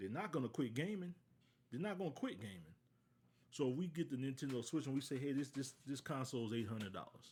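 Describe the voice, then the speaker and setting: An American man talks very fast in a medium-pitched voice with very wide pitch swings. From US South, southwest Louisiana. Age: 40s. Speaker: podcast host. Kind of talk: casual solo podcast monologue. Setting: live stream. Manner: conversational, repetitive.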